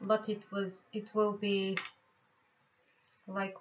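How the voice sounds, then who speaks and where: A woman talks at a very slow pace with a Bulgarian accent. Her pitch is medium for a woman. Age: 50s. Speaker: tarot reader and healer. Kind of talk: personal life story vlog. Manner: halting.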